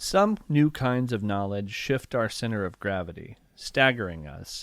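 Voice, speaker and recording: A man with an American accent and an unremarkable speaking voice, medium in pitch with lively intonation, at a fairly slow pace on a very clean recording with a silent background. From rural Ohio, near Appalachia. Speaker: poet. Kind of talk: poetry reading; casual chat.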